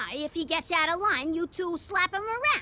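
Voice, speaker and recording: A cartoonish character voice with lively intonation at a moderate pace over light background noise. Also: woman, extremely high pitch for a woman. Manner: brash, bossy, streetwise slang.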